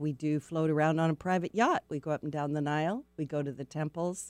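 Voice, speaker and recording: A woman with a very deep, low pitch speaks in a warm, upbeat tone with an American accent, recorded very cleanly against a silent background with a dry, close sound and no echo. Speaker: radio host. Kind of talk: casual radio interview. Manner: warm, chatty, upbeat.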